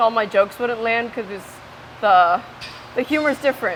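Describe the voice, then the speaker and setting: A woman with a Spanish accent, fairly high in pitch, against noticeable background noise. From Ecuador. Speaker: interviewee. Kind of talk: casual interview. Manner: animated.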